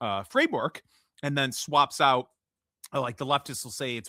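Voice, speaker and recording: With a Midwestern American accent, a man talks at a moderate pace in a bright, sharp tone. The sound is dry and close with no echo, a very clean recording over a silent background. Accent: generic Midwestern American. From US Midwest. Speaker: podcast host. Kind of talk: solo commentary podcast. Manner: casual, with frequent fillers and restarts.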